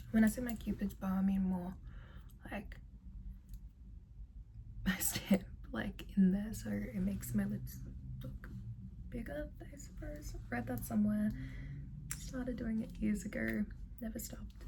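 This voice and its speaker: A woman talks with long, frequent pauses over noticeable background noise. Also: fairly slow pace, big swings in loudness. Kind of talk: ASMR ramble to camera. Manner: soft-spoken, whispery.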